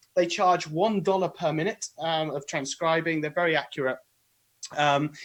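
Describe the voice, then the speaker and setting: With a British accent, a man speaks at a moderate pace in a fairly high pitch and fairly even intonation. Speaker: author and podcaster. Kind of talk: interview / live webinar explanation. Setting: live video stream. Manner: hesitant, many fillers.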